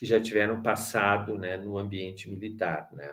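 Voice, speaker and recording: A man's fairly low voice moves at a moderate pace. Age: 60s. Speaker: education professor. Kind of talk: lecture. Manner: halting, many fillers.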